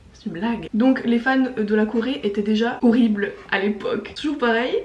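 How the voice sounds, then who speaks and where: Her fairly high voice showing ordinary pitch variation, a woman talks at a moderate speed with noticeable background noise behind her. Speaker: YouTuber. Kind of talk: casual vlog commentary. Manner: speaks loudly but cannot shout; casual with filler words.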